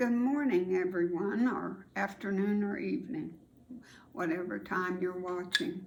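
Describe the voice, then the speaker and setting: Audible room echo surrounds a woman who speaks at a fairly slow pace and a medium pitch with ordinary pitch variation. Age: 80s+. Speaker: grandmother storyteller, video host. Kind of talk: casual storytelling to camera.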